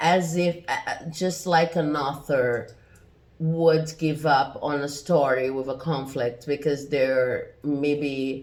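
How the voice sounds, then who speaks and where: Very deep and low-pitched, a woman with a non-native accent speaks with ordinary pitch variation. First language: not English. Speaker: tarot reader. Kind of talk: tarot reading. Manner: hesitant, many fillers.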